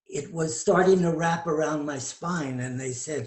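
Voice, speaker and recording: In a room with audible echo, a man with a fairly high voice speaks at a fairly slow pace. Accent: American. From New York. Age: 70s. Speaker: tantra teacher. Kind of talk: interview.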